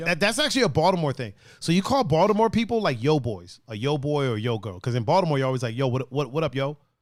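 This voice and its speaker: In a very clean recording with a silent background, a man with an East Coast American accent speaks at a very fast pace with hardly any pauses, his fairly high pitch making very wide swings. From East Coast US. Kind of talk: casual, slangy.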